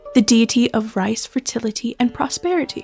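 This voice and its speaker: Music plays in the background as a woman speaks fairly quickly at a fairly high pitch with ordinary pitch variation, the sound dry and close with no echo. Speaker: podcaster / folklore channel host. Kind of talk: informative narration.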